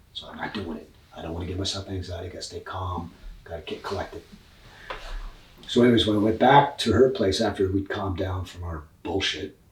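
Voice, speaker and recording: Speaking at a very fast pace, a man has a fairly low pitch with ordinary pitch variation and big swings in loudness. Noticeable background noise is present. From Scotland. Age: 60s. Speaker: professional musician. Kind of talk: casual chat. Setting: in person.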